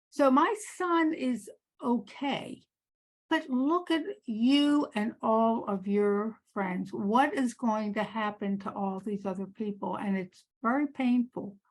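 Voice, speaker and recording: Talking at a very slow pace, a woman uses a fairly high pitch, lively intonation and a somewhat breathy voice. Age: 80s+. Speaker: audience member, parent. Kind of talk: audience question. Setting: conference meeting with audience.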